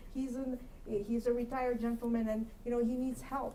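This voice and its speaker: A voice with a Russian accent at a moderate pace, with audible room echo and noticeable background noise. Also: woman. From Kyrgyzstan. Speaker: commission applicant, accountant. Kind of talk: interview answer at public meeting. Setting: city council meeting room.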